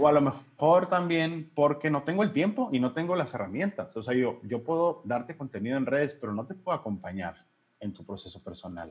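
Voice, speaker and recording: A man's somewhat breathy, fairly high voice at a fairly quick pace, hardly pausing, with very wide pitch swings. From Mexico, Hermosillo, Sonora. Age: 30s. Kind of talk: interview.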